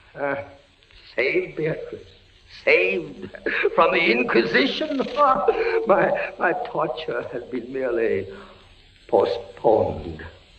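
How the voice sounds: A man puts on a character voice with a fairly high pitch and big pitch swings. He talks at a slow pace, and audible room echo surrounds him.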